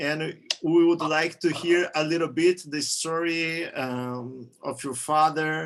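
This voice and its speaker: This man speaks with a Portuguese accent and a high pitch. His pitch rises and falls in an ordinary way. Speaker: interviewer, channel owner. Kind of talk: interview over video call.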